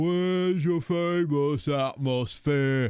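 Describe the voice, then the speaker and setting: Doing a put-on character voice in a London accent, a man speaks at a very slow pace with a fairly high pitch. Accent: broad London. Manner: mocking.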